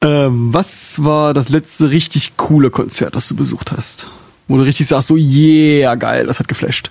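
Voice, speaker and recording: Noticeable background noise accompanies a man with fairly high pitch. He keeps a fairly slow pace and fairly even intonation. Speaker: podcast host. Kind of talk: casual interview. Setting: studio.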